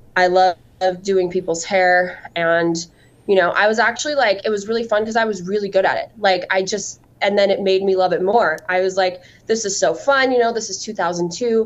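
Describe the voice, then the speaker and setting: Speaking at a fairly quick pace with an American accent, the speaker has a plain, everyday voice and ordinary pitch variation. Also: woman, medium pitch for a woman. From southern Utah. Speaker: salon owner and hair extensions entrepreneur. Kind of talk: interview.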